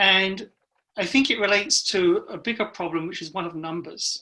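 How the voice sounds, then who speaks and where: A woman's bright, sharp voice at medium pitch and moderate pace, with ordinary pitch variation, on a very clean recording with a silent background. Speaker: advisory council member, scientist. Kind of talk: meeting discussion.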